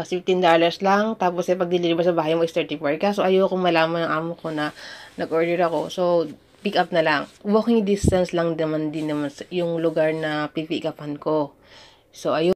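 A woman talks at a moderate pace in a fairly low voice, her intonation fairly even. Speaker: YouTuber, domestic worker. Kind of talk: tutorial. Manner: halting.

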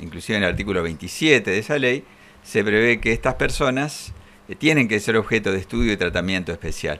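Talking at a fairly quick pace, a man with fairly low pitch uses lively intonation and a bright, sharp tone. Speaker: legal expert. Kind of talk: studio interview. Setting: studio.

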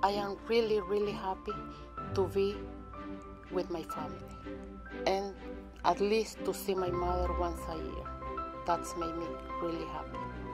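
With clear music in the background, a woman speaks in a Spanish accent at a fairly slow pace, leaving long, frequent pauses. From Nicaragua. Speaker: apparel quality control manager. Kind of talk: interview answer. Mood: warm, happy. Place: factory.

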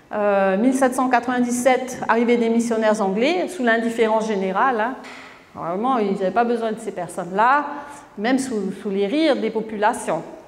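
Fairly slow speech from a woman at a fairly high pitch, her intonation showing ordinary variation. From French Polynesia (Tahiti); French Polynesia. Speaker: author; conference speaker. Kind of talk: lecture. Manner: halting, many repetitions. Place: hall.

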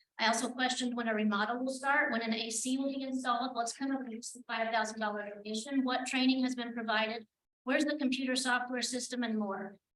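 A woman with a high pitch speaks at a very fast pace, with hardly any pauses and a monotone, flat intonation. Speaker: public commenter, animal shelter volunteer. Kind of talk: public comment at council meeting. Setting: city council meeting.

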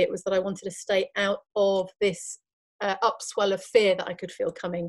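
Ordinary pitch variation from a woman, set against a quiet background. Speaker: remote podcast guest. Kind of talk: interview answer. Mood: earnest, reflective. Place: home room.

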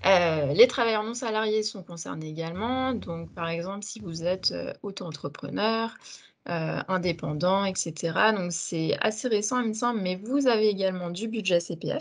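A woman with ordinary pitch variation against a quiet background. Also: fairly slow pace. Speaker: communications and recruitment officer; webinar presenter. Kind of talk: webinar hosting. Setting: video call. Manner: hesitant, many fillers. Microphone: video call.

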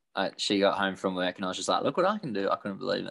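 A man with an Australian accent and a very deep, low pitch, against a quiet background. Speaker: guitarist. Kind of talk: casual interview. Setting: video call. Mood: amused, relaxed storytelling. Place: home room. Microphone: video call.

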